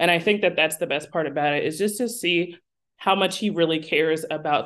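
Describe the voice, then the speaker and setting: Against a quiet background, a woman uses a normal speaking voice, fairly low in pitch with ordinary pitch variation. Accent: American. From South Jersey, near Philadelphia. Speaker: foundation project manager. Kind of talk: podcast interview. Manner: casual, many filler words.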